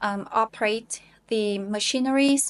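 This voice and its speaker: Against a quiet background, a woman speaks at a very slow pace. Her pitch is fairly high, in a Vietnamese accent. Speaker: English teacher and IELTS learner. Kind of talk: self-recorded speaking practice with self-review. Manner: hesitant with many fillers.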